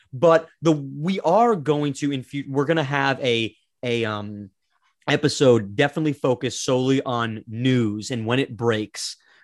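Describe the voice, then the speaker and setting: A man speaks in a normal speaking voice at a moderate pace, his medium pitch moving with ordinary variation. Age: 20s. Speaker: podcast co-host, assistant to a famous person. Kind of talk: casual chat. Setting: remote video recording.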